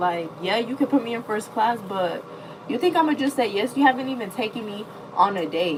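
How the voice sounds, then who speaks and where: Over noticeable background noise, a woman speaks at a moderate pace and a fairly high pitch with lively intonation. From US Midwest. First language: not English. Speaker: livestreamer. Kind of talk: casual chat. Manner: animated.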